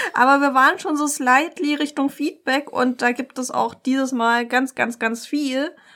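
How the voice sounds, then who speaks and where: A woman speaks at a fairly slow pace with a high pitch. Her intonation stays fairly even, and the recording is very clean with a silent background. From Germany, near Dresden (Saxony). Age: 30s. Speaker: podcast co-host, local politician. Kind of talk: casual political chat.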